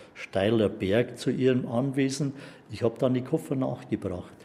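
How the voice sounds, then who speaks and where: The tone is dark and mellow, somewhat breathy. The pace is moderate, with ordinary pitch variation. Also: man. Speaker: eyewitness neighbour. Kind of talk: interview testimony. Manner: halting.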